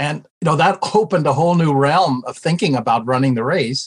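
This man has an American accent. He talks at a moderate pace with ordinary pitch variation. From United States. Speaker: retired ministry professor and former pastor. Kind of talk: interview.

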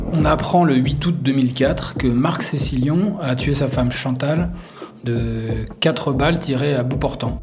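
A man's medium-pitched voice at a very slow pace, with ordinary pitch variation, audible room echo and music in the background. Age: 40s. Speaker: sports journalist and author. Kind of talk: interview.

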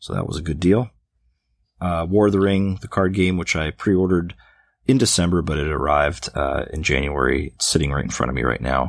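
A man with a very deep, low pitch and vocal fry speaks at a fairly quick pace with ordinary pitch variation, in a very clean recording over a silent background. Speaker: board game podcast co-host. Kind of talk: casual chat.

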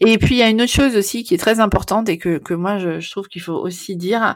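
A woman with ordinary pitch variation talks at a medium pitch, on a very clean recording with a silent background. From Netherlands (Amsterdam), French. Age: 40s. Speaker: postnatal maternity carer. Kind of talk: interview. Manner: hesitant, many fillers.

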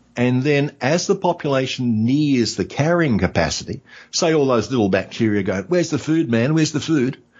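A man with an Australian accent speaks at a moderate pace and a medium pitch. His intonation is lively and his loudness very even. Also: hardly any pauses. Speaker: history podcaster. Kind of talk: casual interview. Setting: in person at host's home.

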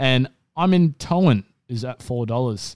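An Australian-accented man speaks at medium pitch. The recording is very clean with a silent background and a dry, close sound with no echo. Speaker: racing podcast co-host. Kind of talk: casual racing analysis chat. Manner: flat, low-energy delivery.

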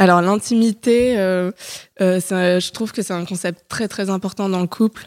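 A woman speaks fairly slowly at medium pitch, with fairly even intonation and an unremarkable speaking voice. The recording is very clean, with a silent background. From Paris, France. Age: 20s. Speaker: podcast guest. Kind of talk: casual chat.

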